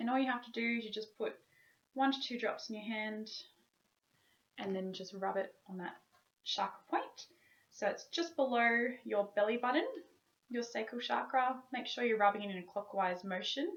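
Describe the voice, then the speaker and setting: A woman at a moderate pace, with ordinary pitch variation and long, frequent pauses. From Australia. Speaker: wellness vlogger. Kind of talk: tutorial. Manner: stiff, robotic. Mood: calm, gentle. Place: home room. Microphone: webcam.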